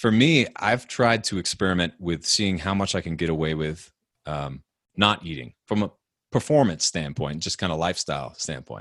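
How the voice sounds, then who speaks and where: A man speaks at a moderate pace with a very deep, low pitch and vocal fry. His intonation is lively, and the background is quiet. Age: 30s. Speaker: author and podcast host, guest. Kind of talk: interview.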